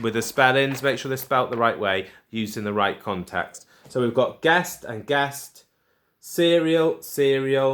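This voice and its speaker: In a very clean recording with a silent background, a man with a medium pitch speaks with lively intonation. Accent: Welsh. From Wales. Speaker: primary school teacher. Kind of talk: tutorial. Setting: recorded video lesson for pupils. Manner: casual.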